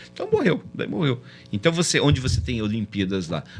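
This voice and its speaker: Music plays in the background as a man talks at a fairly quick pace. His pitch sits in the medium range. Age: 60s. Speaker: math olympiad organizer. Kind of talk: casual chat. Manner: halting.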